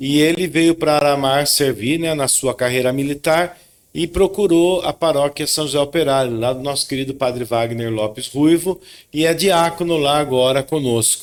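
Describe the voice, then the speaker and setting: A man with an interior São Paulo accent, fairly high in pitch, with ordinary pitch variation and a moderate pace. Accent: Sorocaba interior São Paulo. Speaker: podcast co-host, lawyer. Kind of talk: casual chat.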